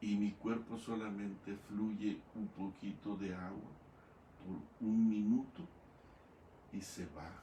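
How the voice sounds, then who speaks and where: A man talks at a very slow pace in a dark, mellow, somewhat breathy tone, with ordinary pitch variation and audible room echo. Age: 70s. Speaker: pastor. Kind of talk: sermon.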